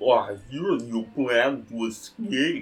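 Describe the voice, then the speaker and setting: A put-on character voice from a man, medium in pitch, at a very slow pace with music in the background. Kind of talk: broken, clumsy speech. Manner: serene, smiling.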